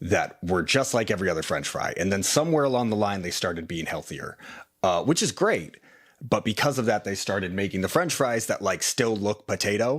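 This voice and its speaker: At a fairly quick pace, a man with a fairly low pitch speaks on a very clean recording with a silent background. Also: lively intonation. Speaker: food show host. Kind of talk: casual chat.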